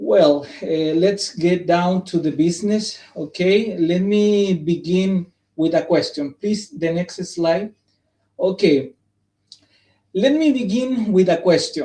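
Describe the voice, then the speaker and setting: A man with a non-native accent speaks very slowly in a dark, mellow tone, his high pitch showing ordinary pitch variation. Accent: non-native English pronunciation. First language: Spanish. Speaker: psychologist presenting at academic symposium. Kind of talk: conference presentation. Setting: live stream. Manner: halting.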